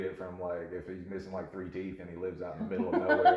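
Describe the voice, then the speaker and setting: A man with a North Carolina accent talks in a very deep, low pitch. Noticeable background noise and audible room echo fill the recording. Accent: Southern US (North Carolina). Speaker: bartender podcast co-host. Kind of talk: casual chat. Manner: animated.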